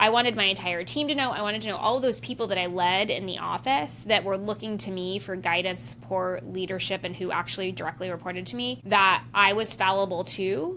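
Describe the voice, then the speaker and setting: Loud and bright with a sharp tone, a woman speaks at a medium pitch and a fairly quick pace, using vocal fry, lively intonation and hardly any pauses. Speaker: podcast host. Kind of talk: solo podcast monologue. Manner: casual, filler-heavy.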